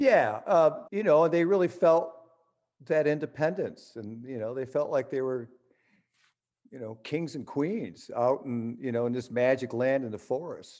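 A man with a plain, everyday voice and an American accent, fairly high in pitch, at a fairly slow pace with lively intonation and big swings in loudness. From western New York, US. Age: 60s. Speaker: rock musician. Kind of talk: interview.

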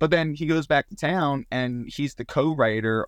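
Speaking at a fairly slow pace with lively intonation, a man with an American accent has an ordinary speaking voice. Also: quiet background. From Southern Maryland. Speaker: touring musician and sound tech. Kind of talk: casual interview. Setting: on his lunch hour at work.

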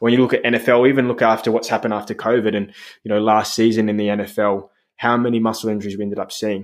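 A man's very fast, monotone and flat speech in an Australian accent, at medium pitch over a quiet background. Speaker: physiotherapist. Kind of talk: casual interview chat.

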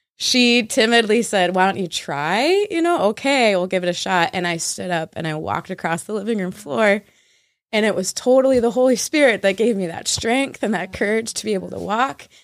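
Over a very clean recording with a silent background, a woman with a plain, everyday voice talks at a fairly quick pace, her medium pitch carrying lively intonation. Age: 20s. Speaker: church worship director. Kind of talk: casual chat.

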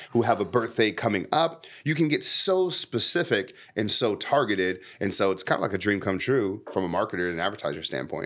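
A man with a Californian accent, animated and fairly quick, with very wide pitch swings and hardly any pauses. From San Diego, California. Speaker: podcast host and marketer. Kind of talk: casual interview.

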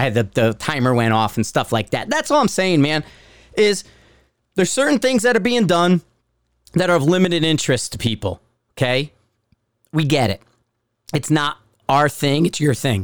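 Talking at a fairly quick pace in a Connecticut accent, a man with a fairly high pitch swings his voice very widely and pauses long and often. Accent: Northeastern US (Connecticut). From US Northeast, Bridgeport, Connecticut. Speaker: podcast host, former Marine sniper. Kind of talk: angry, profane solo rant about forum critics. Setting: at home. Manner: wound-up, combative and sarcastic; blunt and forceful, calling it like he sees it.

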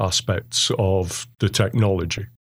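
The recording is very clean, with a silent background. A man speaks in an English accent. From England. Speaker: computer science professor. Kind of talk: interview.

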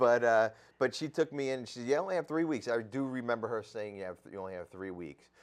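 A man with a New Jersey accent talks very fast at a medium pitch, his intonation lively and his loudness swinging widely. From New Jersey (Sayreville). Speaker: addiction recovery podcaster and treatment program worker. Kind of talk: casual interview, recovery story.

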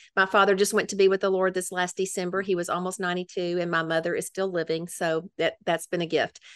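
A woman talks in a Memphis accent at a medium pitch, with monotone, flat intonation. She keeps a fairly quick pace with hardly any pauses against a quiet background. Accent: Southern US (Memphis). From Memphis, Tennessee. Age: old. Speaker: women's ministry leader. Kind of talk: casual interview.

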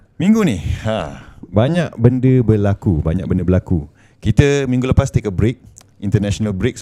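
A man with a dark, mellow tone speaks fairly quickly at a fairly low pitch with ordinary pitch variation. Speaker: podcast host. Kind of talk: casual chat.

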